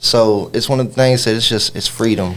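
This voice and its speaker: Ordinary pitch variation marks this man's speech in a strong Kentucky accent. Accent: Kentucky Southern twang, strong. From Kentucky (Louisville, then Butler County/Bowling Green). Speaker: rapper. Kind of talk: radio interview. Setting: radio studio.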